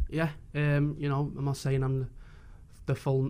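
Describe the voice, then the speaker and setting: In a Liverpool accent, a man talks with a dark, mellow tone and monotone, flat intonation. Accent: Scouse. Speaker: footballer. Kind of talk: post-match interview.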